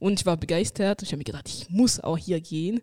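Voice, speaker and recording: Speaking with a French accent, a woman has a dark, mellow tone at a medium pitch. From France. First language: French (speaking German). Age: 20s. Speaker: mission school student. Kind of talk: casual chat.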